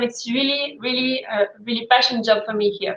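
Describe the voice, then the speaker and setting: Speaking with a French accent, a woman uses a high pitch, fairly even intonation and a moderate pace. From France. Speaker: cheese expert. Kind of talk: video call interview. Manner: halting.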